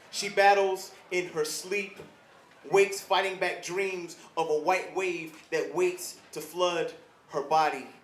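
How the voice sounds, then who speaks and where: There's noticeable background noise as a man talks at a fairly slow pace. His voice is high, his intonation monotone and flat. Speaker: spoken word poet. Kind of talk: spoken word poetry performance. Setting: live event.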